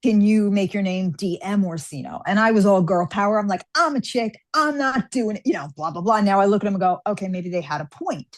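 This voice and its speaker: In a normal speaking voice with an American accent, a woman talks at a fairly quick pace and medium pitch, with hardly any pauses, against a quiet background. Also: lively intonation. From New York. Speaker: fantasy author. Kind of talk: interview.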